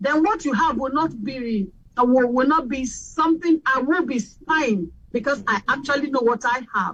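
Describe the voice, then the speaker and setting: Lively intonation in a Nigerian accent. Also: woman. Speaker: radio host. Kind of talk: panel discussion.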